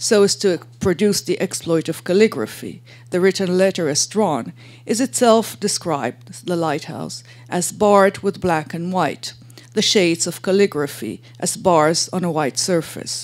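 With vocal fry, a woman speaks at a fairly low pitch and a moderate pace. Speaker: academic lecturer. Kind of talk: lecture. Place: hall. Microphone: podium.

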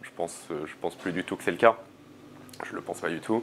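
The man's voice has a very deep, low pitch and fairly even intonation. Light background noise is present. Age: 20s. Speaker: student and climate activist; interviewee. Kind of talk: interview. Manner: halting, many fillers and repetitions. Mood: reflective, thoughtful. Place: home room. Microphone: lapel.

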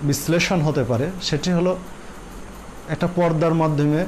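A man's voice over light background noise. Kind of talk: religious Q&A explanation. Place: studio. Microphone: lapel.

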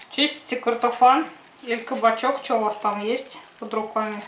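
A woman speaks at a fairly slow pace in a monotone, flat intonation. Audible room echo and light background noise surround her voice. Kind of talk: cooking tutorial. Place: kitchen. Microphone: camera far.

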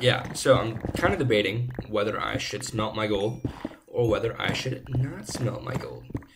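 Amid noticeable background noise, a man of medium pitch talks at a moderate pace with fairly even intonation. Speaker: gaming YouTuber. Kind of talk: casual gameplay commentary. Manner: slurring words slightly. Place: home room.

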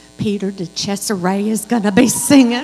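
There is a woman talking, with light background noise audible behind her. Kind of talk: welcome announcements. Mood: cheerful, welcoming. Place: church. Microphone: handheld.

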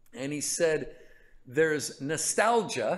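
Against a quiet background, someone with an American accent speaks at a fairly slow pace with lively intonation. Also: man. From California. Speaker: pastor. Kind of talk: Bible study teaching; sermon / Bible teaching. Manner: casual, conversational with hesitations. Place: stage.

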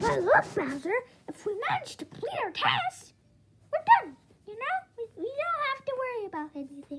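A squeaky, put-on character voice pitched extremely high, with very wide swings in pitch. It moves at a moderate pace.

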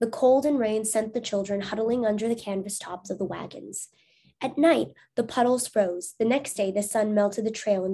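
Reading aloud in a natural voice, over a quiet background.

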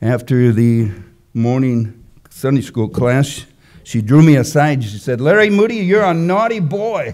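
A man with an American accent speaks at a fairly slow pace. His pitch swings very widely over a quiet background. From US Midwest, Wisconsin. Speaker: preacher. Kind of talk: sermon. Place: church. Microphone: podium.

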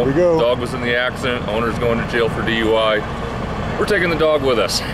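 A man's voice over loud background noise. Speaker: news stringer cameraman. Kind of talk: casual on-scene commentary. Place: street. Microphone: phone near.

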